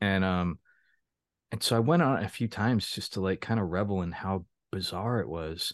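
A plain, everyday voice moves at a fairly slow pace with lively intonation. The background is quiet, and the sound is dry and close with no echo. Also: man. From Florida. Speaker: author and publisher. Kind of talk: casual interview.

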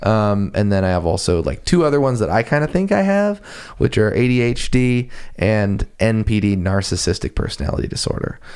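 A man's plain, everyday voice with an American accent, fairly low in pitch, fairly quick and lively in intonation, in a very clean recording with a silent background. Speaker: musician and aspiring politician. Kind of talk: casual conversation.

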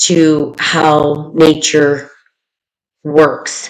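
This woman speaks with a very deep, low pitch. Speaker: podcast host. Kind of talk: casual chat. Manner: loud.

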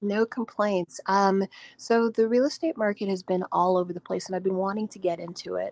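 At a fairly quick pace, a woman with a plain, everyday voice speaks in a medium pitch with ordinary pitch variation and big swings in loudness, her sound dry and close with no echo. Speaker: caller, aspiring real estate investor. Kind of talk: call-in advice conversation.

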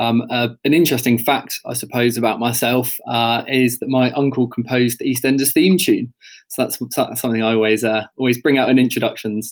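A man's plain, everyday voice at medium pitch and a fairly quick pace, with hardly any pauses, fairly even intonation, and a very clean recording over a silent background. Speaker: engagement manager. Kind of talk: casual quiz chat.

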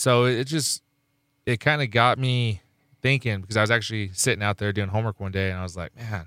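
A man talks at a fairly quick pace with fairly low pitch and ordinary pitch variation. The sound is dry and close, with no echo. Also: very clean recording, silent background. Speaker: radio DJ. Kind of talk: casual radio interview. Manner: joking, boastful.

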